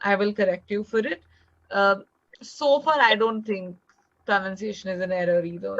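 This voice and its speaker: Long, frequent pauses break up a woman's speech, delivered at a moderate pace with an Indian accent. Her voice sits at a medium pitch with ordinary pitch variation. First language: Hindi. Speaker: English tutor. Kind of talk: online tutoring session.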